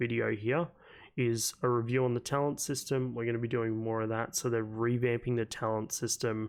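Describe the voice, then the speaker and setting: A man's medium-pitched voice with an Australian accent and fairly even intonation, in a very clean recording with a silent background. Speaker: gaming YouTuber. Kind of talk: casual talk to camera.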